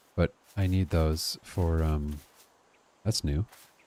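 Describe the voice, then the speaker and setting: A soft-spoken man talks in a very deep, low voice. His tone is dark and mellow. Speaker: gaming streamer. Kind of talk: live gameplay stream commentary. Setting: live stream, talking to chat. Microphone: quiet stream audio, viewer says too quiet.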